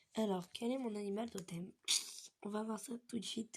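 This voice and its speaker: Her voice has a somewhat breathy quality. The woman speaks at a moderate pace. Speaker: youtuber. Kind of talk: casual chat. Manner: casual, hesitant.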